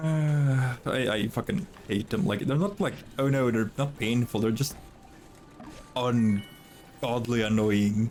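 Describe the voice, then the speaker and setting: In a Norwegian accent, the speaker talks at a very slow pace with lively intonation and very even loudness over music in the background. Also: man, medium pitch for a man. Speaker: video game streamer. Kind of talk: casual chat. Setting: live stream.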